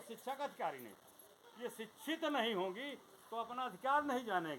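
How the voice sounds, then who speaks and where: Speaking at a moderate pace, the man uses lively intonation. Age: 70s. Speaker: retired railway worker, speaker at memorial meeting. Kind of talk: speech at condolence meeting.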